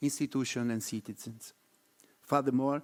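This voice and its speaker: Speaking with an Italian accent, a man with a medium pitch keeps a fairly even intonation on a very clean recording with a silent background. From Italy. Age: middle-aged. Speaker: research network coordinator. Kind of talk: conference presentation.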